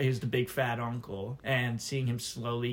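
A man with an American accent speaks at a moderate pace, his voice showing vocal fry. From Michigan. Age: 20s. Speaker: college student. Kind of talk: casual interview.

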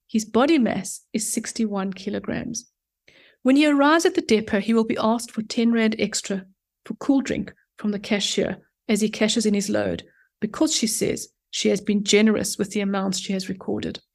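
In a very clean recording with a silent background, a woman speaks with a somewhat breathy voice at a fairly high pitch. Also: ordinary pitch variation, moderate pace. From South Africa, Johannesburg. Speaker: urban planner and author. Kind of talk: casual interview.

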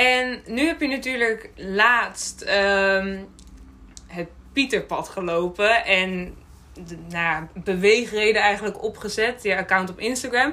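A woman speaks very slowly at a medium pitch, her loudness swinging widely. Her tone is bright and sharp. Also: ordinary pitch variation. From Friesland, Netherlands. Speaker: podcast host. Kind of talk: podcast interview.

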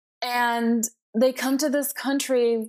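A woman with a Spanish accent. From Peru, moved to Florida at ten. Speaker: college English professor. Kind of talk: interview conversation. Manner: hesitant with frequent fillers.

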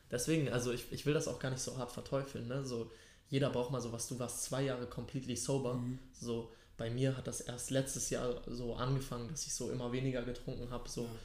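A man at medium pitch with monotone, flat intonation, a fairly quick pace and audible room echo. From Hamburg, Germany. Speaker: podcast host. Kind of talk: casual chat; podcast intro.

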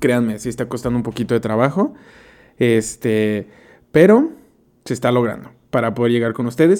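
A man's medium-pitched voice with a Mexican accent, dark and mellow, at a moderate pace with long, frequent pauses and ordinary pitch variation. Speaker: podcast host. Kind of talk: casual solo monologue.

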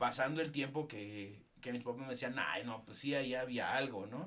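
A man with a Mexican accent, medium pitch, and ordinary pitch variation. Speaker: podcast co-host. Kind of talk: casual chat. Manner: halting.

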